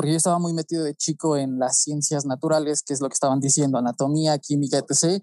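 A man with a Mexican accent speaks in a fairly high pitch and a dark, mellow tone, his intonation monotone and flat, the sound dry and close with no echo. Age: 20s. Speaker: photographer and pharmaceutical chemist. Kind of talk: podcast interview.

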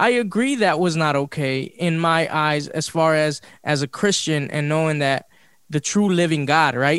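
An ordinary speaking voice: a man with an American accent, fairly high pitch, ordinary pitch variation, moderate pace, very even loudness, and a very clean recording with a silent background. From Los Angeles. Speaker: podcast host. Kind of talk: casual chat.

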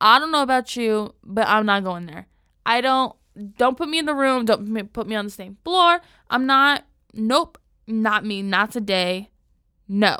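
A woman's fairly high, bright and sharp voice with lively intonation and long, frequent pauses, on a very clean recording with a silent background. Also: moderate pace. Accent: Southern Californian. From San Diego, California. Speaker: podcast host. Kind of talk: casual solo podcast narration. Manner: casual, with fillers and restarts.

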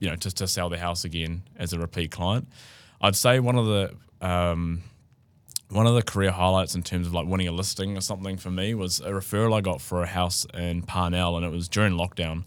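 Over a silent background in a very clean recording, a man with a very deep, low pitch and a New Zealand accent talks at a fairly quick pace with fairly even intonation. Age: 20s. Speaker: real estate agent. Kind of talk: casual chat.

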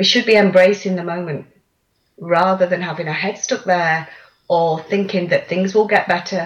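A woman speaks at a medium pitch with ordinary pitch variation, in an East Midlands accent, sounding somewhat breathy. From central England, Lincolnshire. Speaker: coach and author. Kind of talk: interview.

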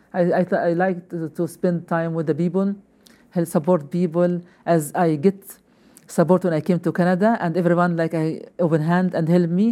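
A woman with an Arabic accent, fairly low in pitch, dark and mellow in tone, with monotone, flat intonation at a moderate pace. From Libya. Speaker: newcomers' program coordinator. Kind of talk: interview. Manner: halting.

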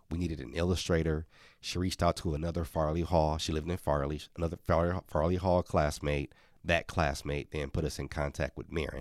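The delivery is fairly quick, with vocal fry and fairly even intonation, on a very clean recording with a silent background. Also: man, very deep, low pitch for a man. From Milwaukee, Wisconsin, US. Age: 40s. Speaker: children's author, former mascot. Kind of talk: interview.

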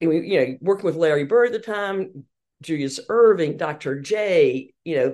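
Against a quiet background, a woman talks fairly quickly in a Southern US accent. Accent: Southern American. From US South, Hartsville, South Carolina. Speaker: women's sports marketing executive. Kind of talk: interview.

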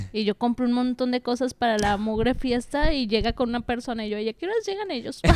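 A high female voice at a fairly quick pace with hardly any pauses, over noticeable background noise. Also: ordinary pitch variation. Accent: Mexican. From Mexico, Aguascalientes. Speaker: comedian and co-host. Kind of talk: casual chat.

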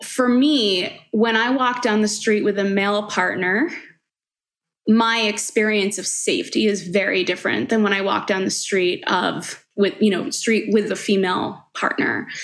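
A woman with an American accent speaks at a moderate pace in an ordinary speaking voice, her medium pitch showing ordinary pitch variation. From Long Island, New York. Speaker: writer and editorial director. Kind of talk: casual interview.

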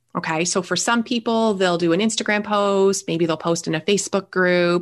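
A woman with a Canadian accent speaks at a medium pitch with fairly even intonation. She has a plain, everyday voice, and the background is quiet. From Canada. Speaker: business growth strategist. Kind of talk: interview.

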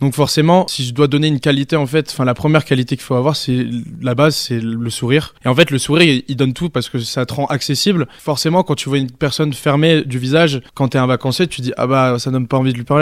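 Fairly high in pitch, a man talks at a very fast pace with hardly any pauses. His intonation stays fairly even. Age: 20s. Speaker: holiday club entertainer. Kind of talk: interview. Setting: holiday village on location.

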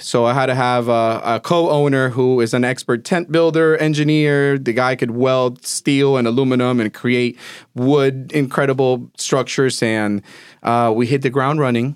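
A man with a Spanish accent talks at medium pitch and a moderate pace, with fairly even intonation and very even loudness. The recording is very clean, with a silent background. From Caracas, Venezuela. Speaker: business owner. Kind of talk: casual interview.

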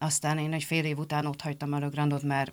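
A woman's very deep, low voice at a very fast pace, in a very clean recording with a silent background. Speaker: factory team leader. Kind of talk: interview.

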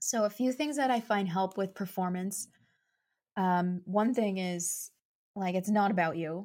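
A woman with a Canadian accent has an unremarkable speaking voice at medium pitch with ordinary pitch variation. She talks at a fairly slow pace in a very clean recording with a silent background. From Canada, Saskatchewan (Saskatoon). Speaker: mindset coach and marketing strategist. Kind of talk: casual interview.

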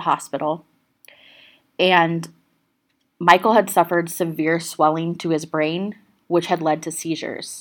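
Over a silent background in a very clean recording, a woman speaks at a fairly low pitch. Her pace is moderate, broken by long, frequent pauses. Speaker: true crime podcast host. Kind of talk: true-crime narration, telling the case story to a live audience. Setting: live stage with audience at a festival. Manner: steady, serious storytelling; conversational, addressing the audience directly.

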